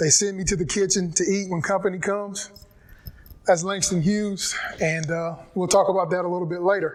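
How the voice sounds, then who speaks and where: A man with a North Carolina accent speaks at a fairly quick pace in a high, monotone, flat voice over noticeable background noise. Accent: Southern US (North Carolina). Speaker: physical education teacher and football coach. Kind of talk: personal testimony talk. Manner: conversational, reflective.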